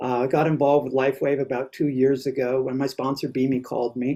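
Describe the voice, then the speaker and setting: A man with a fairly high voice. His tone is dark and mellow. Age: 60s. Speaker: network marketing distributor. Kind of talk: testimony. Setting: video call.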